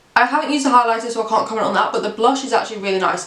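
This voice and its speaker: A woman talks at a fairly high pitch with ordinary pitch variation. Noticeable background noise and audible room echo are present. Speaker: beauty youtuber. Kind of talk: product review. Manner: fast.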